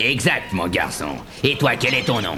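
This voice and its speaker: Against clear background noise, a man uses a put-on character voice at a moderate pace. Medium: audio drama. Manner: hearty, laughing.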